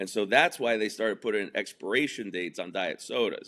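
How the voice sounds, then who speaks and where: A man with a New York accent speaks in a bright, sharp tone. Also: very clean recording, silent background. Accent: New York area American. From New Jersey, outside Manhattan. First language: Spanish. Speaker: entrepreneur and comedian. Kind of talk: interview.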